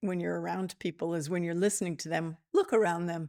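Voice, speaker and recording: Here a woman is speaking. The recording is very clean, with a silent background. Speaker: podcast host, intuitive teacher. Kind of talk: solo podcast talk on spirituality. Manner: slow; calm, deliberate.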